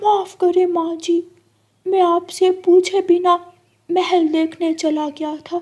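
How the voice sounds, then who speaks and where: A cartoonish character voice from a woman, extremely high-pitched, monotone and flat, at a very slow pace. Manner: eager.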